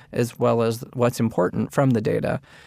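This is an unremarkable speaking voice from a man. His pitch is medium and his pace moderate. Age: 40s. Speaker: government health research program director. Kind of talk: interview.

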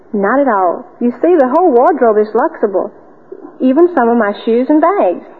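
A woman's high voice at a moderate pace, with very wide pitch swings and very even loudness. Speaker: cotton industry ambassador, debutante. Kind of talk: old-time radio drama, interview segment. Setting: radio studio. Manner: polite, bright, chatty, formal.

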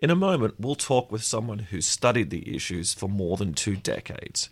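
Vocal fry runs through a man's fairly low voice with an Australian accent. The recording is very clean, with a silent background. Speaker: podcast co-host and editor. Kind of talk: casual interview chat.

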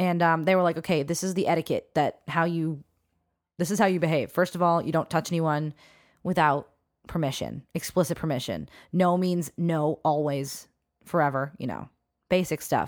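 A woman with an unremarkable speaking voice talks at a moderate pace with a fairly low pitch and fairly even intonation in a very clean recording with a silent background. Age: 20s. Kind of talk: casual chat.

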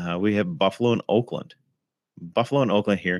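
This man's pitch is very deep and low, with ordinary variation. The recording is very clean, with a silent background. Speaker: fantasy football podcast host. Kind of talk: solo podcast recap. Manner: casual, with fillers.

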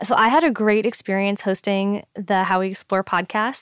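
Speaking fairly quickly in an ordinary speaking voice with an American accent, this voice comes through a very clean recording with a silent background and a dry, close sound with no echo. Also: woman. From US, New York City. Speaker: astronomer. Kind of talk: interview.

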